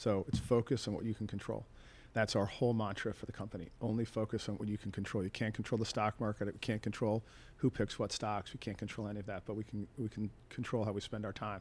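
Here a man speaks very fast in a fairly low, monotone voice with flat intonation. The recording is very clean, with a silent background. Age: 50s. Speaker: company founder and CEO. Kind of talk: interview. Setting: studio.

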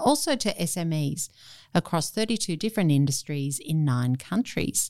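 A woman talks at a moderate pace with lively intonation in a normal speaking voice. The recording is very clean, with a silent background. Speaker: radio host and business CEO. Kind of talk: interview. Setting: studio.

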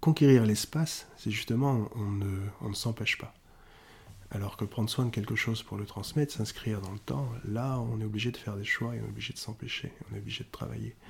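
Somewhat breathy and fairly low in pitch, a man talks at a fairly quick pace with ordinary pitch variation. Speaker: kung fu teacher and China specialist. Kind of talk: casual interview.

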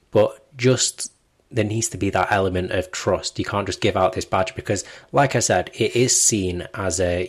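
A man speaks in a somewhat breathy voice in a very clean recording with a silent background. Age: 20s. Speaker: Apple news blogger and journalist. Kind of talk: casual interview chat.

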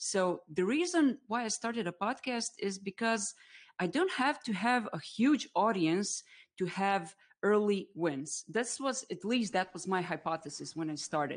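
A woman with a Croatian accent, medium pitch, lively intonation and a fairly slow pace, over a quiet background. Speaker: B2B marketer and live streamer. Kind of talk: casual interview on a live stream. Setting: online live stream.

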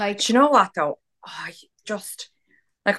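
Bright and sharp in tone, the voice moves at a fairly quick pace with a dry, close sound and no echo. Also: woman. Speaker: podcast co-host. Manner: loud, talkative.

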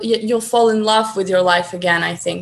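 With a Ukrainian accent, a woman speaks at a fairly high pitch with ordinary pitch variation. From Ukraine. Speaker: guest, language enthusiast. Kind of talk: casual interview. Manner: hesitant, many fillers.

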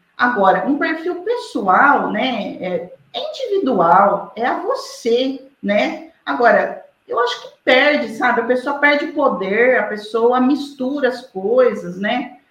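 At a very slow pace with hardly any pauses, a woman speaks at high pitch with lively intonation amid audible room echo. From Brazil, interior of São Paulo state (Araraquara). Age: 40s. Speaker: lawyer and social media commentator. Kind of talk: interview.

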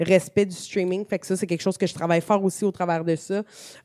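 A woman with a Quebec accent speaks in a dark, mellow tone with fairly even intonation. The sound is dry and close, with no echo. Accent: Québécois French. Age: 30s. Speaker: gaming communications director and streamer. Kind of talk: casual interview.

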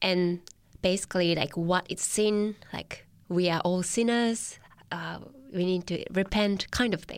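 Speaking at a fairly slow pace, a woman talks with a Japanese accent. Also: medium pitch for a woman. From Japan, Tochigi. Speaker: church Bible worker. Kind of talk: personal testimony interview. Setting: studio. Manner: hesitant, frequent fillers.

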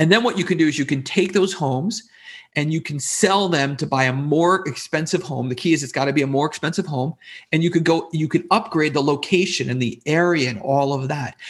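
With a quiet background, a man talks fairly quickly in an ordinary speaking voice, fairly high in pitch with ordinary pitch variation. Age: 40s. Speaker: real estate investor and business coach. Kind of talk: interview.

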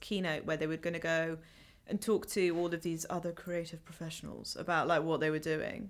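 On a very clean recording with a silent background, a woman in a London accent talks at a fairly quick pace and fairly low pitch, with fairly even intonation. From West London, England. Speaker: PR account director. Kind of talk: casual chat.

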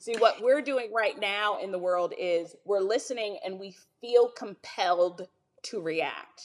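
In an unremarkable speaking voice, a woman talks fairly slowly at a medium pitch with ordinary pitch variation. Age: 30s. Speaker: business executive and minister. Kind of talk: casual chat.

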